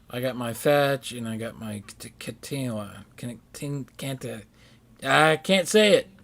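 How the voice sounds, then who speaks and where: A mumbling man at a fairly slow pace, lively intonation, big swings in loudness, and noticeable background noise. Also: medium pitch for a man. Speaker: gaming streamer. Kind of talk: casual chat.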